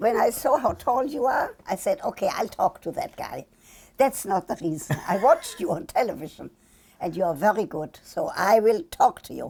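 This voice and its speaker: At a moderate pace, a woman with a fairly high voice speaks with very wide pitch swings and big swings in loudness. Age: 80s+. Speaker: sex therapist and media personality. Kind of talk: interview answer.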